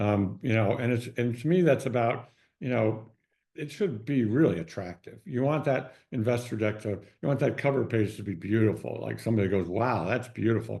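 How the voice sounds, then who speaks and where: This man has a medium pitch and a dark, mellow tone. Vocal fry runs through his speech, with ordinary pitch variation. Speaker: consumer goods business advisor. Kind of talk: webinar presentation. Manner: fast; hesitant, many fillers and repeats.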